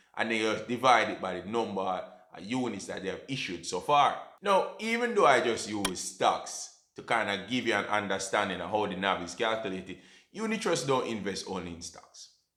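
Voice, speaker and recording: Fairly quick speech from a man with a Jamaican accent. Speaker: personal finance YouTuber. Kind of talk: educational talk to camera. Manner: casual, conversational.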